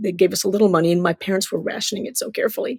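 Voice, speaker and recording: A woman speaks in an animated tone at a medium pitch, somewhat breathy. The sound is dry and close, with no echo. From Cuba (Havana), emigrated to US as child. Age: 60s. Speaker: children's book author. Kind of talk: interview storytelling. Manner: animated storytelling.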